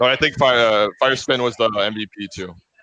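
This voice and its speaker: A man speaks with a Quebec accent. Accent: French Canadian accent in English. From Quebec City, Canada. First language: French. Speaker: esports tournament player. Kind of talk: post-match interview. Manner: halting.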